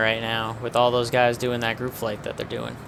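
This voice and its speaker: Over noticeable background noise, the speaker talks in a relaxed tone at a moderate pace with fairly even intonation. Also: man. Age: 20s. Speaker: flight sim streamer. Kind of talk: live stream commentary. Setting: home streaming setup with webcam. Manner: casual, relaxed.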